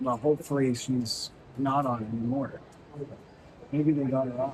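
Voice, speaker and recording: A medium-pitched man speaks at a moderate pace with monotone, flat intonation. Noticeable background noise is present. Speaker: travel vlogger. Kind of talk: casual vlog. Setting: airport. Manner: whispering; loud.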